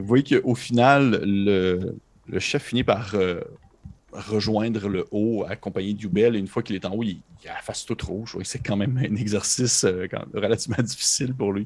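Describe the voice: This man's voice sits at a fairly low pitch. The tone is slightly mellow, with a slightly husky edge. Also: ordinary pitch variation, moderate pace.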